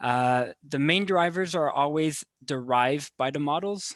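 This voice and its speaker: Speaking with a Quebec accent, a man goes at a fairly slow pace with ordinary pitch variation. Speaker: webinar host. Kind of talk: webinar Q&A moderation.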